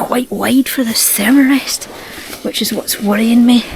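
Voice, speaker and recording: Over noticeable background noise, a woman's whisper moves at a fairly slow pace. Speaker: solo hiking and wild camping vlogger. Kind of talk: casual vlog to camera. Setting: outdoors in a tent. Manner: whispering.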